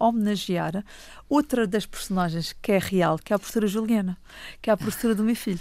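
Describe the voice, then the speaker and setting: Recorded very cleanly with a silent background, a woman speaks with ordinary pitch variation. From Madeira, Portugal (Funchal). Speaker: children's author and storyteller. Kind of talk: radio interview. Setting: studio.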